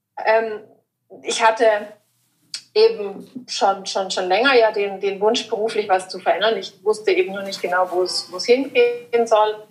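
Over music in the background, a woman with a fairly high voice speaks at a fairly slow pace, her pitch varying in an ordinary way while her loudness swings widely. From southern Germany, Lake Constance. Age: 40s. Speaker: style consultant. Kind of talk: casual interview. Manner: hesitant, many fillers.

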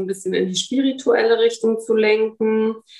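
A woman talks at a moderate pace in a fairly high pitch, with ordinary pitch variation. She has an unremarkable speaking voice. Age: 40s. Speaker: mother living apart from her son, physiotherapy practice worker. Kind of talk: interview.

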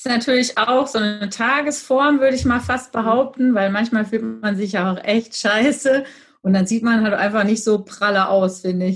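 Fairly high in pitch, a woman speaks at a moderate pace with ordinary pitch variation. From Germany, Gütersloh (Westphalia). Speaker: office clerk and cupcake baker. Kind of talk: casual interview. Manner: loud.

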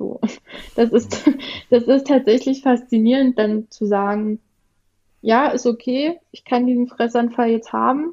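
Speaking at a fairly slow pace with long, frequent pauses, a woman with a high pitch and a dark, mellow tone keeps a fairly even intonation but shows big swings in loudness. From rural Germany (village). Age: 30s. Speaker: guest sharing eating disorder experience. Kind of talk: personal testimony.

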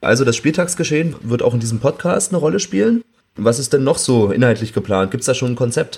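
A man speaks at a very fast pace with lively intonation. His voice is somewhat breathy. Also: medium pitch for a man. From Berlin outskirts, Germany. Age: 30s. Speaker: podcast host. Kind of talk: interview. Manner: fluent, scripted-sounding moderation.

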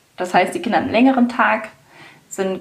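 A woman is speaking against noticeable background noise. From Hanover, northern Germany. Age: 30s. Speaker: kindergarten founder and triathlete mother. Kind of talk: interview.

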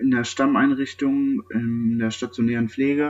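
A man speaks at a moderate pace and medium pitch with monotone, flat intonation. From western Germany, Sauerland area (North Rhine-Westphalia). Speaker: nursing trainee. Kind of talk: interview. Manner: hesitant, many filler sounds.

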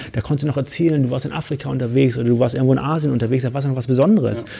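With a dark, mellow tone of medium pitch, a man speaks somewhat breathily and with ordinary pitch variation. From Hamburg, northern Germany. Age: 40s. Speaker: business coach and mountaineer. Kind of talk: casual interview. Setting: studio in Frankfurt.

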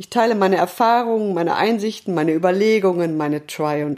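This woman has a dark, mellow tone and lively intonation. She talks at a moderate pace. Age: 50s. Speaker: podcast host, self-coaching. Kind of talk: podcast monologue. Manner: not quiet, rather loud.

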